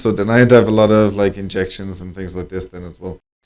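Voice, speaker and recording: In an Irish accent, a man with fairly low pitch speaks on a very clean recording with a silent background. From Ireland. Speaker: English teacher and language school director. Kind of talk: conversation practice monologue for learners. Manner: casual, conversational with many fillers.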